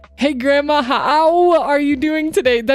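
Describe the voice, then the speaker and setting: A woman's put-on character voice, high-pitched and strained, with fairly even intonation at a fairly slow pace. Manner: pained, strained.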